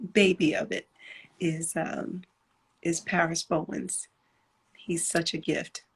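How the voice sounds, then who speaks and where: A soft-spoken, somewhat breathy woman's voice, fairly low in pitch, with monotone, flat intonation, a very slow pace and long, frequent pauses. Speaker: gospel singer and songwriter. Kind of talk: casual interview.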